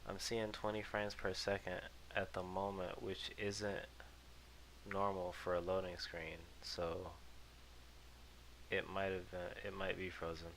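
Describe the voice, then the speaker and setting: Soft-spoken and very deep, a man talks fairly slowly in a flat monotone with long, frequent pauses, and audible echo fills the room. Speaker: gaming video creator. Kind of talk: casual gameplay commentary. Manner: hesitant, many ums and uhs. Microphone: cheap headset mic, picks up jaw noises.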